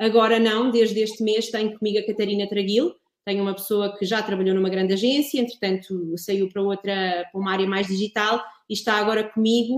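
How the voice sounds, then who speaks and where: A woman speaks at a fairly quick pace with a fairly high pitch. She has a normal speaking voice and fairly even intonation. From Portugal, Ribatejo. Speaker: wine producer and communications consultant. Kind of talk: casual interview.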